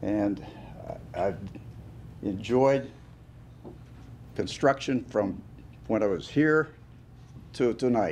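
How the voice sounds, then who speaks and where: Speaking very slowly with long, frequent pauses, a man with a western Pennsylvania accent keeps a medium pitch and ordinary pitch variation. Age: 80s+. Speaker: award recipient, construction businessman. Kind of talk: acceptance speech. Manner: halting.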